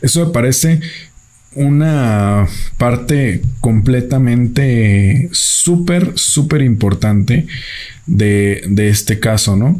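At a very slow pace, a man with a medium pitch and a dark, mellow, somewhat breathy tone speaks with lively intonation and very even loudness. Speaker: film review podcaster. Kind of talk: solo film review monologue. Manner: halting, many fillers.

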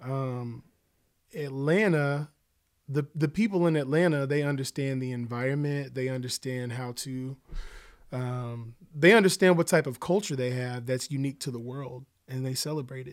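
In a very clean recording with a silent background, a man with an American accent and an ordinary speaking voice talks at a moderate pace and medium pitch, with ordinary pitch variation and big swings in loudness. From Oklahoma City. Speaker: musician and songwriter. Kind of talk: casual chat.

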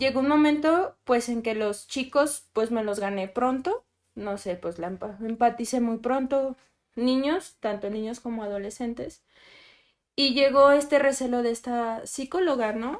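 A woman's high voice, fairly slow with ordinary pitch variation, on a very clean recording with a silent background. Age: 20s. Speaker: psychologist. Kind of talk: panel discussion.

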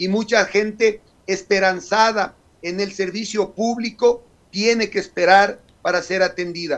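Speaking at a fairly slow pace, a man uses a high pitch with fairly even intonation. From Ecuador, Carchi province. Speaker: legislator. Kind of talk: radio interview. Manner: formal.

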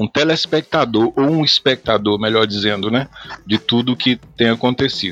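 A man's pitch moves in an ordinary way as he talks. Behind him, music is playing. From Goiás, Brazil. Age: 40s. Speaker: pastor. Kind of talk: podcast interview.

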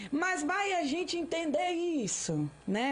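A woman speaks over noticeable background noise. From Brasília, Brazil. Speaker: missionary preacher. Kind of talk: testimony. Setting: studio.

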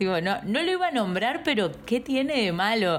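Noticeable background noise runs under the recording. A woman speaks with lively intonation. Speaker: podcast co-host. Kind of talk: casual chat.

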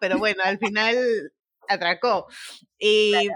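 The tone is bright and sharp, with ordinary pitch variation. The sound is dry and close, with no echo. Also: woman. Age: 20s. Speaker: TikToker. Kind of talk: casual chat.

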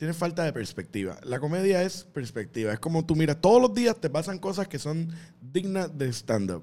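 A man with a fairly high pitch, very wide pitch swings and a dark, mellow tone, at a moderate pace. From Puerto Rico. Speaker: comedian. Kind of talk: casual chat.

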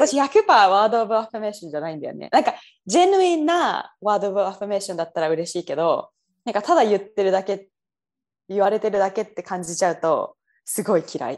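Speaking at a very fast pace, a woman with a medium pitch uses lively intonation and big swings in loudness. The background is quiet. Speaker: software engineer, guest co-host. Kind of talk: casual chat.

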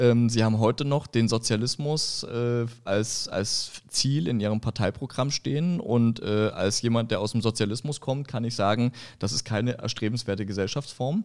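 With a normal speaking voice, a man talks at a moderate pace and medium pitch, with hardly any pauses. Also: ordinary pitch variation. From eastern Germany, Görlitz (Upper Lusatia, Saxony). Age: 40s. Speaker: political candidate. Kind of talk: interview discussion.

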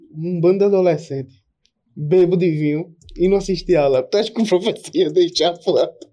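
A man's high voice with a dark, mellow tone, ordinary pitch variation and a fairly quick pace. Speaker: podcast co-host, streamer. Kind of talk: casual chat.

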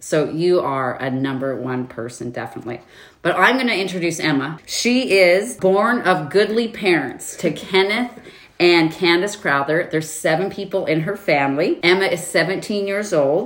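A woman talks at a moderate pace with a fairly low pitch. Her intonation is lively. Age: 40s. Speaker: podcast host. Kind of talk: casual chat. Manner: animated.

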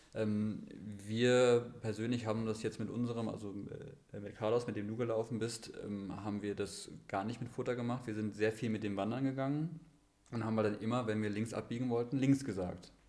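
A man with a dark, mellow tone speaks at a medium pitch and a moderate pace, his intonation fairly even. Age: 30s. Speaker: runner and sled dog sports enthusiast. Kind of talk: casual chat. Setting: physio practice, remote podcast.

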